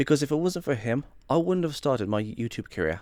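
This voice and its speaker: The pitch swings very widely up and down. The recording is very clean, with a silent background. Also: man. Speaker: YouTuber. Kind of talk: casual vlog monologue. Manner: stuttering, repeating himself.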